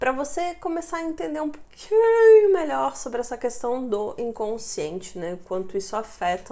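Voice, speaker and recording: A dark, mellow tone with very wide pitch swings, at a moderate pace with hardly any pauses. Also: woman. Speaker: neurolinguistic programming coach and video creator. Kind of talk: casual vlog talk to camera. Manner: conversational, informal.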